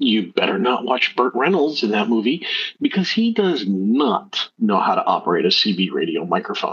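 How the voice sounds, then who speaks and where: A man speaks at a fairly high pitch with very wide pitch swings, very even loudness, and vocal fry. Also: moderate pace. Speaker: podcast co-host. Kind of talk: casual chat. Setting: remote call on a livestream. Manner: soft-spoken.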